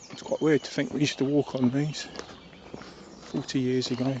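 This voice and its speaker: Noticeable background noise sits under the voice. A man talks at a moderate pace. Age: old. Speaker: vlogger. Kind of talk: casual monologue. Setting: outdoors. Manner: halting; soft-spoken.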